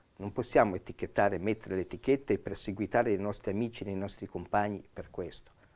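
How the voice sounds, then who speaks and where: This man talks at a very fast pace in a fairly low pitch. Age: 60s. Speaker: police officer. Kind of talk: expert explanation on TV panel. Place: studio. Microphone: lapel.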